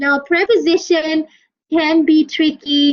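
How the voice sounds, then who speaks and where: A woman speaks at a fairly slow pace with a Malaysian accent. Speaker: university English lecturer. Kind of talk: lecture. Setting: online class.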